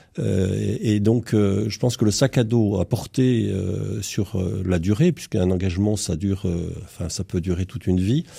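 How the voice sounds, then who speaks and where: On a very clean recording with a silent background, a man speaks in a somewhat breathy voice with a dark, mellow tone and ordinary pitch variation. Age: 60s. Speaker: entrepreneur, former national scout leader. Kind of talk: radio panel discussion. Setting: radio studio. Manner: halting, many repetitions.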